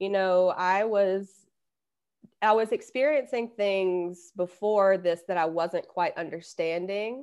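Very slow delivery in a Southern US accent, with ordinary pitch variation and a quiet background. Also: woman, medium pitch for a woman. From US South. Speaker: intuitive coach and hypnotherapist. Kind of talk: casual interview.

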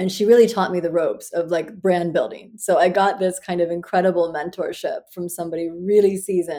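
In a Midwestern US accent, a woman speaks at a medium pitch with a dark, mellow tone, fairly even intonation and hardly any pauses. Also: fairly quick pace. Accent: General American, Midwestern. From US Midwest (Iowa, Western Pennsylvania, Ohio). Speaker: fashion brand founder, former finance professional. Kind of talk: interview.

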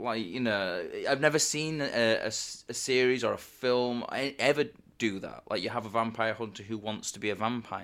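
An ordinary speaking voice from a man of medium pitch, ordinary pitch variation and moderate pace, in a very clean recording with a silent background. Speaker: podcast co-host. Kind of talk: casual podcast chat.

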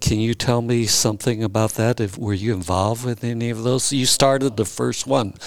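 Here is a man with an unremarkable speaking voice at medium pitch, his intonation fairly even. He moves at a fairly quick pace with hardly any pauses. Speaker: historian interviewer. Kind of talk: interview questions. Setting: recorded at Justice Lowe's house.

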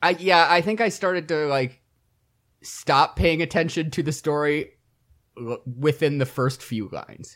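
With an American accent, a man speaks in an unremarkable speaking voice at a fairly high pitch and a fairly slow pace. His pitch variation is ordinary, and the recording is very clean with a silent background. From Michigan, US Midwest. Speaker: podcast co-host. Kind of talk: casual chat.

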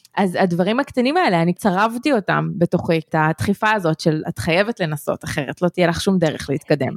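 A woman's plain, everyday voice, fairly low and fairly quick, with lively intonation and a dry, close sound with no echo. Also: hardly any pauses. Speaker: podcast co-host. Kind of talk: scripted intro then casual chat.

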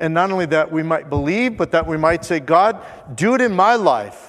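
A man speaks at a high pitch with lively intonation. His pace is moderate. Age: 50s. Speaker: pastor. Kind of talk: sermon. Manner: conversational.

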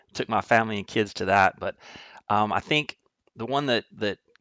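Against a quiet background, a man talks at a moderate pace in an ordinary speaking voice of medium pitch. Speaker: triathlon coach and company executive. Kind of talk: casual interview.

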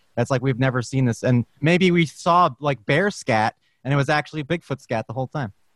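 A man speaks in a normal speaking voice at a medium pitch and a fairly quick pace, with ordinary pitch variation. The sound is dry and close, with no echo. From Brooklyn, New York. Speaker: guest, voiceover actor. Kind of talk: casual chat. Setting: video call.

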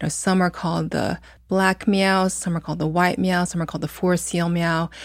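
A woman with an American accent speaks at a moderate pace in a monotone, flat intonation. Her loudness swings a lot, and the recording is very clean with a silent background. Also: fairly low pitch for a woman. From US Midwest (Muncie, Indiana). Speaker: fashion designer. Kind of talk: interview conversation.

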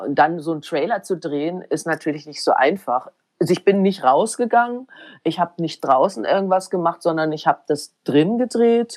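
This woman has a plain, everyday voice, pitched fairly low, with lively intonation at a moderate pace and a dry, close sound with no echo. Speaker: documentary filmmaker. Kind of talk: interview. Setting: garden shed.

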